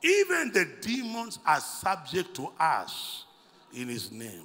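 A man with an extremely high-pitched voice speaks very slowly against a quiet background. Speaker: preacher. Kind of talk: sermon. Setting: church. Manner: animated; call-and-response, commanding. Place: church. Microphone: handheld.

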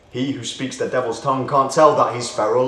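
A man talks at a fairly quick pace at a medium pitch. There is audible room echo. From United Kingdom. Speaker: spoken word poet. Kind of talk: spoken word poetry performance over music, rhythmic and declamatory. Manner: rhythmic, rhyme-driven delivery with internal rhymes; impassioned, sardonic and exclamatory. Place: empty room.

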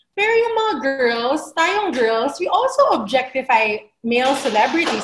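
Noticeable background noise sits behind a woman with a high pitch and very wide pitch swings. She keeps a moderate pace with hardly any pauses. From Philippines. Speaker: feminist activist; webinar panelist. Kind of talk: webinar panel discussion. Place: home room. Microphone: webcam.

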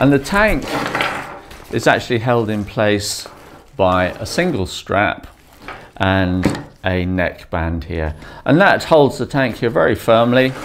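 A man speaks at a very slow pace. Background noise is noticeable. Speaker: dive gear reviewer. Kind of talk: product review tutorial. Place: home room.

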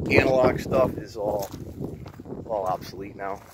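A man's voice comes through dry, with no echo, while noticeable background noise goes on. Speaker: explorer vlogger. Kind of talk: casual vlog chat. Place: open country. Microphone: phone near.

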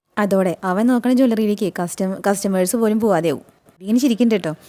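A woman's fairly high-pitched voice, dark and mellow in tone, with lively intonation. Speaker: serial recap youtuber. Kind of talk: episode recap narration. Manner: casual, conversational.

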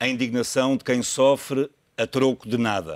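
With fairly even intonation, a man talks over a quiet background. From Portugal. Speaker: TV moderator; TV debate moderator. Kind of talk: TV political debate, moderating; scripted intro narration. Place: studio.

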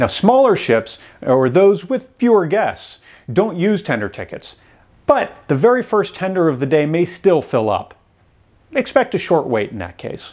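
A man speaks at a moderate pace, his pitch high for a man. The background is quiet. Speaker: travel channel host. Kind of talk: tutorial. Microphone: lapel.

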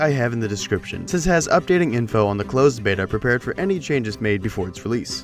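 With music in the background, a man rattles along at a very fast pace with lively intonation. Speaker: gaming channel host. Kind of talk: game tutorial narration.

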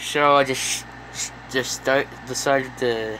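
Very slow speech from a man at medium pitch, with ordinary pitch variation amid noticeable background noise. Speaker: video reactor. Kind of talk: casual reaction video. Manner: halting.

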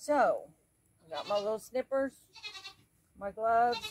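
There is light background noise as a woman speaks at a very slow pace. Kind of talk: casual gardening tutorial. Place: garden.

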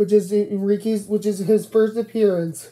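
A woman speaks at a fairly quick pace in a monotone, flat intonation. Light background noise sits behind her. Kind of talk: casual vlog chat. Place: home room. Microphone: phone near.

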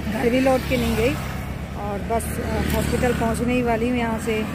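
Female speech in a dry sound with no echo, against loud background noise. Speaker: vlogger. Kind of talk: casual vlog chat.

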